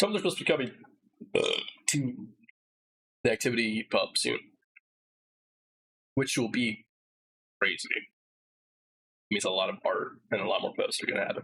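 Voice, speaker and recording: Long, frequent pauses break up a man's otherwise fairly quick delivery. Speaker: streamer reacting to video. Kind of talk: live stream commentary. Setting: live stream.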